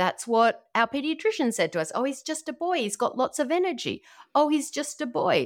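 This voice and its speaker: Her voice swings very widely in pitch as a woman speaks with an American accent. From Australia. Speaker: nutrition practitioner and author. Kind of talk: casual interview chat.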